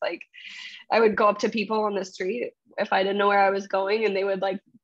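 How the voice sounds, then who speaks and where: With an American accent, a woman speaks in a normal speaking voice at a medium pitch and a fairly quick pace, her intonation fairly even, the sound dry and close with no echo. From Boston area, US. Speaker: solo traveler and volunteer teacher. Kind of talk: interview answer. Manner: casual, filler-heavy.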